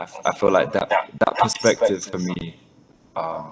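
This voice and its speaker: A man with a London accent at a fairly slow pace. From London, England. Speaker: spiritual content creator and musician. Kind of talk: casual interview conversation.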